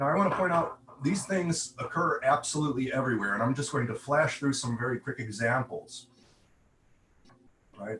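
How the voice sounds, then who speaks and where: Over noticeable background noise, a man with fairly high pitch speaks with lively intonation and long, frequent pauses. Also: moderate pace. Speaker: conference speaker, AI researcher. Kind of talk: conference presentation.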